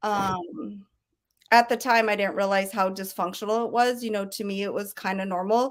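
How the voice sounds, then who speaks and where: A woman with an American accent speaks at medium pitch. Her pace is moderate and her intonation fairly even. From Colorado, Denver. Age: 40s. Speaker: recovery center alumna and staff member. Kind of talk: interview testimony. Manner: hesitant, many ums.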